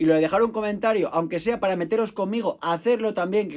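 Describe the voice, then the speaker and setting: In a very clean recording with a silent background, a man with a Spanish accent talks at a very fast pace with ordinary pitch variation. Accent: Spanish (Spain). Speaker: football history podcaster. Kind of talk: podcast monologue.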